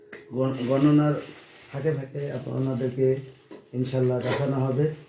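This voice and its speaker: Speaking at a medium pitch in a monotone, flat intonation, a man is heard with audible room echo and noticeable background noise. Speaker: father filming family savings. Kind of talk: casual home video commentary.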